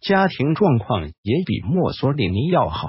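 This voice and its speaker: At a fairly slow pace, a man with vocal fry and a fairly high pitch swings very widely in pitch. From China. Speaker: history video narrator. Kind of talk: scripted narration.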